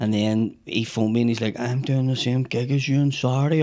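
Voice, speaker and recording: There is noticeable background noise as a man with a Northern Irish accent talks very fast at a medium pitch. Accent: Northern Irish (Belfast). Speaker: comedian. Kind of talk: casual chat. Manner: animated.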